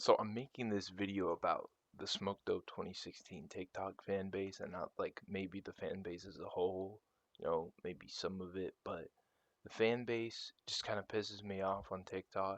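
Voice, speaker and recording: Quiet speech at a moderate pace comes through with a dry, close sound and no echo. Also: man. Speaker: online video creator. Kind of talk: casual rant.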